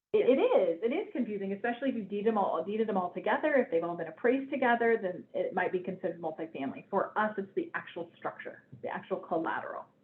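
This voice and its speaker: A woman talks at a very fast pace with hardly any pauses, her fairly high voice showing lively intonation over noticeable background noise. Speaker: bank collateral specialist presenting a webinar. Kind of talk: webinar presentation. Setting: online webinar.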